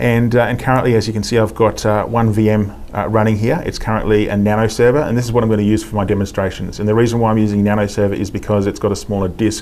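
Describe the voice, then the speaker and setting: A man with an Australian accent talks at a very fast pace in a fairly low, monotone, flat voice, with hardly any pauses and audible room echo. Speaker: IT specialist. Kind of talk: technical demo interview.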